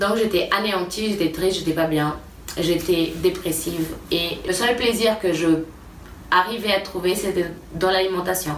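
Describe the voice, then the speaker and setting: A woman with a Portuguese accent talks at a medium pitch and fairly even intonation. The room echo is audible, and there is noticeable background noise. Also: fairly slow pace. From Brazil. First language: Portuguese (speaking French). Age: 20s. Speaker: YouTuber and nutrition coach. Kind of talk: personal vlog testimony. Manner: casual, hesitant with fillers.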